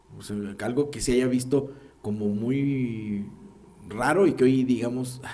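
A man with a Mexican accent and a dark, mellow tone speaks at medium pitch with ordinary pitch variation, and room echo is audible. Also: big swings in loudness. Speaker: podcast host. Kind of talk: casual chat.

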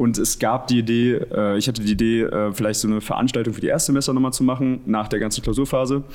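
Medium in pitch, a man speaks at a very fast pace. His intonation stays fairly even. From Germany, Aachen. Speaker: student council member. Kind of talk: casual interview.

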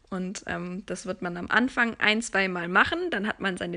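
At a moderate pace, a woman talks while noticeable background noise fills the recording. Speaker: sales professional and podcast host. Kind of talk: solo podcast monologue.

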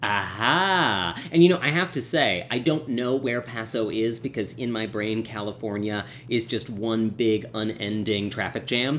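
Amid noticeable background noise, a man with an American accent talks at medium pitch with ordinary pitch variation and hardly any pauses. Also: fairly slow pace. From US Midwest, Chicago area. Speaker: podcast host. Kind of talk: casual chat. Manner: animated.

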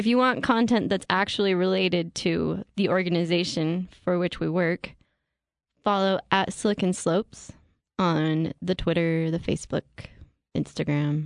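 Recorded dry and close with no echo, a woman with a fairly low voice speaks at a fairly slow pace, her loudness very even and her pitch varying in an ordinary way. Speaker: podcast co-host and tech writer. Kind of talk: casual chat. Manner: formal announcer style in the intro.

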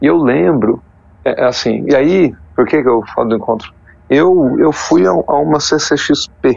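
Using vocal fry, a man talks at a fairly slow pace and fairly high pitch with lively intonation and very even loudness. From Brazil, São Paulo state and Poços de Caldas, Minas Gerais. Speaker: YouTuber documenting tabletop RPG history. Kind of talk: casual interview. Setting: online call recorded on Discord. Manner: halting, many repetitions and fillers.

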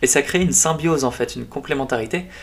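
A man speaks with ordinary pitch variation. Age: 20s. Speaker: podcast host, entrepreneur. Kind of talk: solo monologue podcast. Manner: casual with frequent hesitations.

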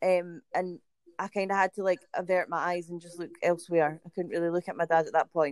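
A woman in a strong Scottish accent speaks fairly quickly in a fairly low, monotone, flat voice. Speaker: band singer. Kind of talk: casual interview chat.

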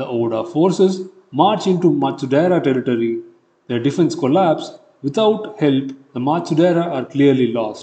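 A man with a Tamil accent speaks at a fairly high pitch. His intonation is lively. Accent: Indian English, Tamil-accented. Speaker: history podcast narrator. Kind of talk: scripted history documentary narration, storytelling. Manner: dramatic, measured storytelling pace, building suspense; animated, conversational, with rhetorical flourishes.

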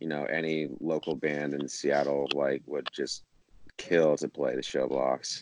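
Speaking with an American accent, a man uses a very deep, low pitch and a monotone, flat intonation. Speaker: band member. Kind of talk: interview.

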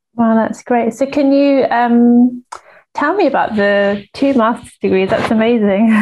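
A woman speaks in a high pitch at a very even loudness. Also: ordinary pitch variation, fairly slow pace. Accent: British. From Uganda. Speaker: podcast host and scientist. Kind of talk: interview conversation. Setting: video call.

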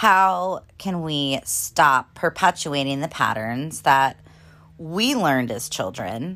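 The very clean recording, with its silent background, captures a woman whose very deep, low voice has a bright, sharp tone, very wide pitch swings and a very slow pace. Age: 40s. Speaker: podcast host, parenting coach. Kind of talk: solo podcast monologue. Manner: casual, conversational.

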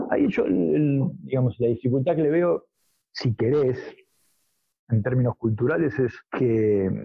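Speech comes at a fairly slow pace in a somewhat breathy voice. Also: man. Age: 50s. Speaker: musician. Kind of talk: interview.

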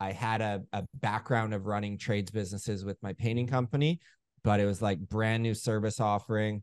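A man with a Canadian accent has an ordinary speaking voice, fairly low in pitch, moving at a fairly quick pace with fairly even intonation. The sound is dry and close with no echo, over a quiet background. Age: 30s. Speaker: home service business owner and coach. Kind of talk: casual interview.

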